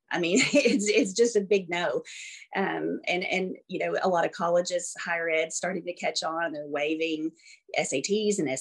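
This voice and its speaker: A woman with a Southern US accent, fairly low-pitched, at a fairly slow pace with ordinary pitch variation. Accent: Southern American. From US South, Arkansas. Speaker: school administrator and former teacher. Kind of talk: interview.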